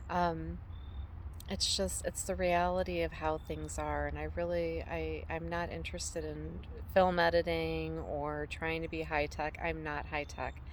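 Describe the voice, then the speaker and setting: A woman talks at a fairly slow pace. Room echo is audible. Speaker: homesteader and vlogger. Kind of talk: casual vlog monologue. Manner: halting, many fillers.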